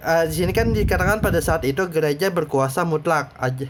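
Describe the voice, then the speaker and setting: This man speaks with a South Kalimantan accent. His pitch is fairly high and varies in an ordinary way. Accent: Banjar. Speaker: teacher. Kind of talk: lecture. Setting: recorded at night. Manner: halting; casual.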